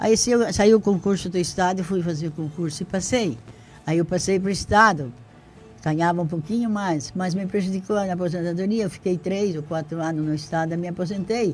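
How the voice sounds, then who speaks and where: Over music in the background, a high-pitched man speaks at a fairly quick pace with ordinary pitch variation. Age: 80s+. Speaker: retired teacher, local pioneer. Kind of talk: interview. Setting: radio studio, live.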